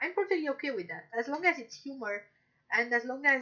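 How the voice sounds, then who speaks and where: Her intonation lively, a woman speaks. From Romania. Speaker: streamer. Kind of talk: casual chat. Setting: live stream. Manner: halting.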